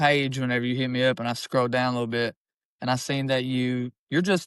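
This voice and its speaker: A man speaks at a medium pitch in a flat monotone. The background is quiet. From Eastern Kentucky. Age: 20s. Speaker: rapper. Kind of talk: casual chat. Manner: rambling.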